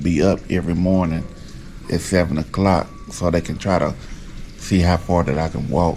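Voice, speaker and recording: Noticeable background noise sits behind a man with a very deep, low pitch. He speaks at a moderate pace with fairly even intonation. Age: 40s. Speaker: rapper and vlogger. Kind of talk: personal video diary. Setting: hospital. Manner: halting.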